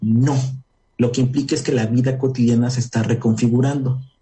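There is a somewhat breathy quality to this man's medium-pitched voice. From Puebla, Mexico. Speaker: urban studies researcher. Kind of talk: radio interview.

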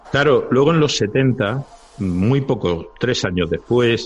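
With lively intonation and a fairly slow pace, a man speaks against noticeable background noise. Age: 50s. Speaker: lawyer. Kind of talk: casual chat.

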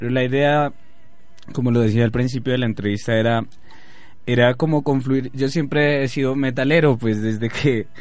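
Here a man speaks at a moderate pace with monotone, flat intonation. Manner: halting, filler-heavy.

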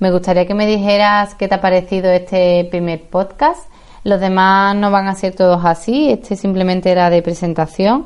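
A woman talks at a moderate pace with a plain, everyday voice. Her medium pitch varies in an ordinary way, and her loudness stays very even. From Seville, Spain. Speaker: life coach and podcaster. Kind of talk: podcast monologue.

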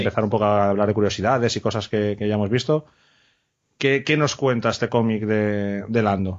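A man with a plain, everyday voice, fairly low in pitch, at a moderate pace with fairly even intonation. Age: 30s. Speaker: podcast host. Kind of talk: casual chat.

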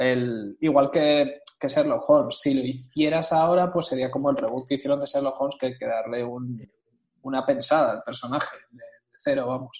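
A man speaks at a moderate pace. His loudness swings a lot. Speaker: podcast co-host. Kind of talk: casual chat.

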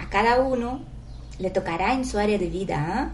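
Noticeable background noise and audible room echo fill the space. Within it, a woman talks very slowly. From outside Spain, moved to Spain to study. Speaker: meditation guide. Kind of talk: guided meditation. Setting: live stream. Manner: halting.

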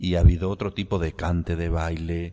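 A man's moderate-paced speech is heard against a quiet background. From Andalusia, Córdoba province (Priego de Córdoba area). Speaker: writer and philologist. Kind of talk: interview.

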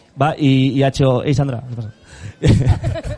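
Noticeable background noise behind a medium-pitched male voice. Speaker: podcast host. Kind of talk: casual chat. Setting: live event with audience.

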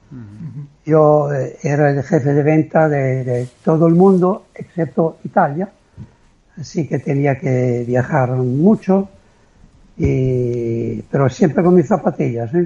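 The voice is somewhat breathy, with a dark, mellow tone. It moves at a very slow pace with ordinary pitch variation. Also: man, fairly high pitch for a man. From Italy (Liguria, near San Remo). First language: Italian (speaking Spanish). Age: 70s. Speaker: retired amateur endurance athlete. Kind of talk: interview.

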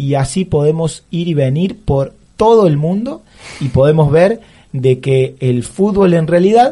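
With lively intonation and a somewhat breathy, dark, mellow tone, the man talks at a fairly slow pace. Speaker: teacher and radio columnist. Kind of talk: radio column, casual commentary. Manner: halting, with frequent fillers.

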